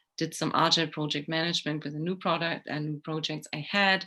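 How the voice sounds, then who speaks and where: On a very clean recording with a silent background, a woman with a very deep, low pitch and a bright, sharp tone speaks at a moderate pace. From Germany. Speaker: organizational psychologist and executive coach. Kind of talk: interview.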